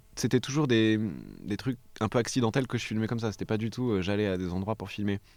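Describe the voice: A man talks at a fast pace. His pitch sits fairly low.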